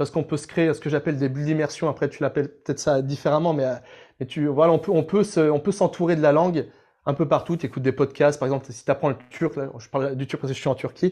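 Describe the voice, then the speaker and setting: Talking at a very fast pace, a man with a fairly high pitch uses a dark, mellow tone and fairly even intonation. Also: quiet background. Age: 30s. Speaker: language learning coach. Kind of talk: interview.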